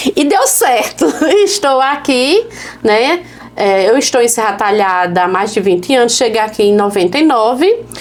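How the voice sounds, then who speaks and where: A woman's fairly high voice moves through very wide pitch swings at very even loudness. Music plays in the background, and the room echo is audible. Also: moderate pace. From Pernambuco sertão, Brazilian Northeast. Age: 40s. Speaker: women's agency leader and activist. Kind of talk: interview conversation.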